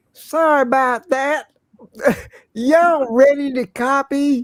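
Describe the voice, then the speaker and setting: Drawling at a fairly slow pace, a female-sounding voice puts on a high-pitched character voice with a Southern US accent. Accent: Southern American. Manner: slow drawl.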